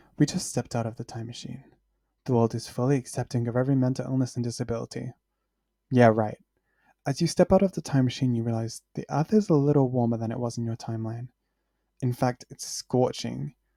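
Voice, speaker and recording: A man's medium-pitched, dark, mellow voice at a very fast pace, deadpan in tone, in a dry, close recording with no echo and a very clean, silent background. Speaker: student podcast host. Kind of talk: interview and scripted narration. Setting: recorded podcast at microphone. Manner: monotone; deadpan sarcastic delivery.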